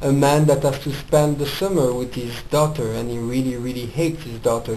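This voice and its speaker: A man with a French accent speaks at medium pitch with ordinary pitch variation. Both room echo and background noise are noticeable. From France. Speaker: film reviewer. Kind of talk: casual film review monologue. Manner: casual, hesitant with fillers.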